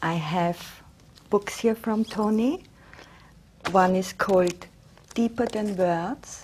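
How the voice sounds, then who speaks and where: On a very clean recording with a silent background, a woman speaks at a very slow pace with long, frequent pauses, her somewhat breathy voice medium in pitch with ordinary variation. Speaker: interviewer. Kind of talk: TV interview host.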